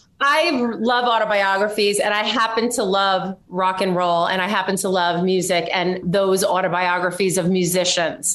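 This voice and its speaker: A woman at medium pitch and moderate pace, with hardly any pauses, ordinary pitch variation, very even loudness and noticeable background noise. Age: 50s. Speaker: podcast host. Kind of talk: interview. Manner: animated.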